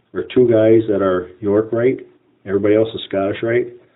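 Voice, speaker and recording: With an American accent, a man delivers a normal speaking voice at fairly low pitch, moderate pace and fairly even intonation. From Wisconsin Rapids, Wisconsin. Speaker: freemason, lodge officer. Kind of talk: interview.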